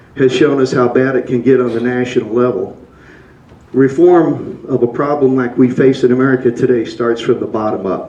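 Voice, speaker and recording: Against noticeable background noise, a man of medium pitch talks at a moderate pace with fairly even intonation. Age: 60s. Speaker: public commenter. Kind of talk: public comment.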